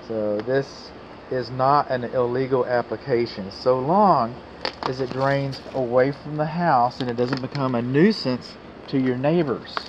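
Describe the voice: A man with an American accent talks at a fairly slow pace with few pauses. His medium pitch shows ordinary variation, with faint background noise.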